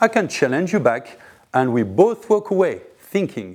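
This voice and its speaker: With a French accent, the speaker goes at a fairly slow pace, the pitch swinging very widely. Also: man. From France. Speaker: podcast host. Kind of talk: monologue commentary.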